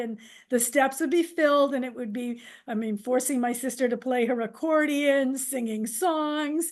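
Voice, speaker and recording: A woman's high-pitched voice at a fairly slow pace, with ordinary pitch variation against a quiet background. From Massachusetts. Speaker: nurse and theater director. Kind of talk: podcast interview.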